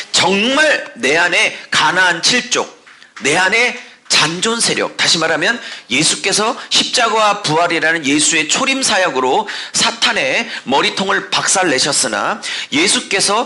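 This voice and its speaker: A man's high voice at a very slow pace, with very wide pitch swings and very even loudness, amid noticeable background noise and audible room echo. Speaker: pastor. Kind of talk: sermon.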